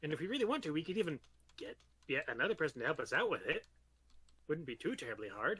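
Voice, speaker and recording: A put-on character voice races along at a very fast pace. Long pauses break it up often. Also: man, high pitch for a man. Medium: actual play. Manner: stammering, repeats words, hesitant.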